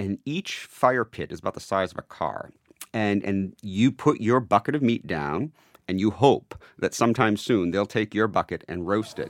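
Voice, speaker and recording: With a plain, everyday voice, a man speaks at a fairly low pitch with ordinary pitch variation, in a dry, close sound with no echo. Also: moderate pace. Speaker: editor. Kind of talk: casual interview. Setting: studio.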